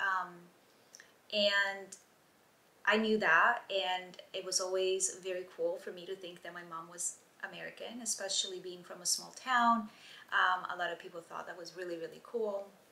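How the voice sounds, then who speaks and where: At a moderate pace and medium pitch, a woman speaks in an Italian accent with monotone, flat intonation and big swings in loudness. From southern Italy, Gallipoli; moved to US at 12. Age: 30s. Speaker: YouTuber. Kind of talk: storytelling vlog. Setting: outdoors. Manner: hesitant, many fillers.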